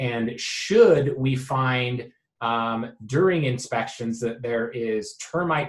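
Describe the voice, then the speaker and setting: Somewhat breathy, a man talks at a medium pitch. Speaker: real estate agent. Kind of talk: explanatory video message to clients. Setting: office. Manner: many fillers (um, uh).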